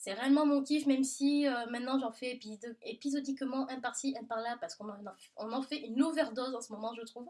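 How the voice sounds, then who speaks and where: A woman's high-pitched, fairly quick speech in a southern French accent, with big swings in loudness. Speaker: book vlogger. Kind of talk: casual Q&A video monologue. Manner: animated.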